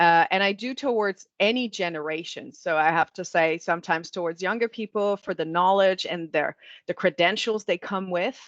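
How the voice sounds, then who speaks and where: Over a quiet background with a dry, close sound and no echo, a woman with an ordinary speaking voice talks at a moderate pace with ordinary pitch variation. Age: 40s. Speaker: marketing executive.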